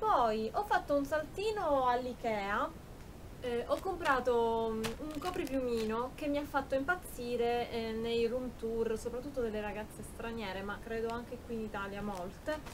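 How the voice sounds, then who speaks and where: Noticeable background noise sits behind a woman's high-pitched voice. She speaks at a fairly slow pace. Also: ordinary pitch variation. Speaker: YouTube beauty and shopping vlogger. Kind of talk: haul video, casual talk to camera. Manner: animated, chatty with fillers. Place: home room. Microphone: phone near.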